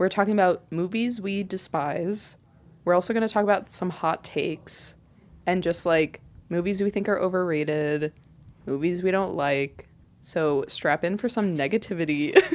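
A woman with a medium-pitched voice talks at a moderate pace with ordinary pitch variation. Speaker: college radio podcast co-host. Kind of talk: casual chat. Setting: studio.

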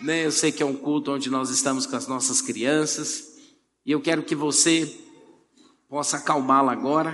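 A fairly high-pitched man at a moderate pace, with audible room echo. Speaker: pastor. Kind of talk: sermon. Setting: church.

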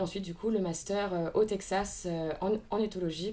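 Somewhat breathy and dark, mellow in tone, a woman's voice sits at a medium pitch with fairly even intonation. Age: 20s. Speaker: equine ethologist and riding instructor. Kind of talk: interview.

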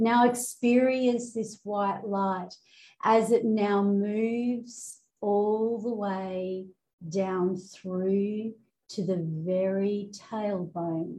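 A woman's dark, mellow, somewhat breathy voice at medium pitch, fairly even in intonation and very slow, over a quiet background. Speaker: spiritual coach and hypnotherapist. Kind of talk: guided meditation; promotional intro and coaching talk. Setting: outdoors in rice fields, Bali. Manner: slow, soothing, calm and hypnotic; gentle, deliberate pacing with repeated phrases.

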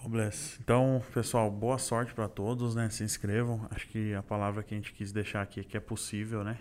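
Flat and monotone in intonation, a man speaks at a moderate pace with a fairly low pitch. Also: hardly any pauses. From Santo André, greater São Paulo, Brazil. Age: 20s. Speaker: corporate trainee, mechanical engineer. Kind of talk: casual interview chat.

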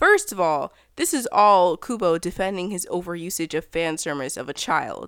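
A woman with a normal speaking voice talks at a moderate pace in a medium pitch with ordinary pitch variation. The recording is very clean, with a silent background. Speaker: podcast host. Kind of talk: casual commentary.

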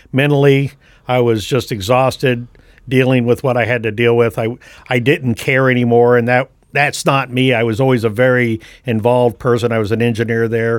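At a moderate pace, a man with an American accent speaks at a medium pitch in a monotone, flat intonation. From US West Coast, San Francisco Bay Area. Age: 60s. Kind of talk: casual chat.

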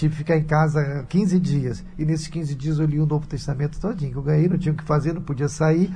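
Audible room echo surrounds a man with a fairly high pitch and fairly even intonation. He talks at a fairly quick pace with hardly any pauses. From Brazil, Rio de Janeiro. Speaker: radio host and pastor. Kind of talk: radio talk show. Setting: radio studio.

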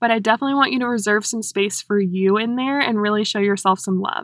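A woman with an American accent speaks in a fairly high, bright, sharp and animated tone with ordinary pitch variation. The sound is dry and close with no echo, against a quiet background. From North Carolina. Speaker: podcast host, health and lifestyle coach. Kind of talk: casual solo podcast talk.

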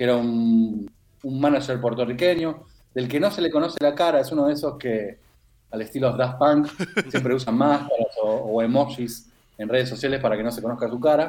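A man speaks in a normal speaking voice at a medium pitch and a moderate pace. His pitch varies in an ordinary way. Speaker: music columnist. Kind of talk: radio music column.

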